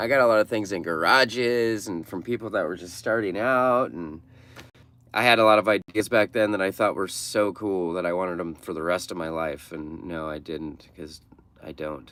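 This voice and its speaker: A man with an American accent, fairly low-pitched, at a moderate pace with ordinary pitch variation. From Oregon. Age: 40s. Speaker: van-dwelling livestreamer. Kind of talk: casual livestream chat reading viewer comments. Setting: livestream from a mechanic shop. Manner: casual, halting with fillers.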